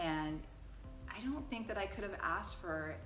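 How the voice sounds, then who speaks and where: Music sits behind the speaker. She is a woman delivering her words at a moderate tempo. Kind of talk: interviewer, casual talk to camera.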